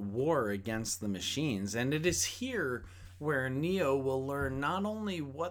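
This is an unforced reading voice. The delivery stays unforced throughout.

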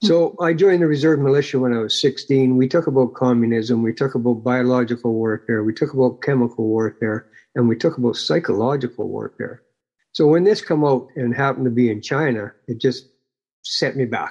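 With a Canadian accent, the speaker moves at a fairly quick pace with ordinary pitch variation against a quiet background. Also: man. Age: 60s. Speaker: retired activist chapter leader. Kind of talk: casual interview. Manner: humble, plain-spoken.

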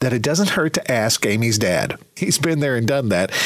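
A man talks in a warm, upbeat tone with lively intonation. Noticeable background noise runs behind him. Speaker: radio host. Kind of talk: radio DJ patter: smooth upbeat countdown announcing, song intros, plugs. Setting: radio studio. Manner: polished, warm, upbeat, brisk.

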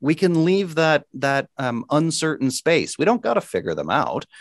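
A man with a plain, everyday voice speaks at a moderate pace, his pitch fairly high with ordinary variation. The sound is dry and close with no echo, over a quiet background. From small town in eastern Canada. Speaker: mental health advocate and consultant. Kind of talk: interview.

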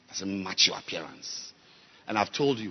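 Male speech, animated in tone, with noticeable background noise. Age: 50s. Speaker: bishop preacher. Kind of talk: sermon. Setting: church.

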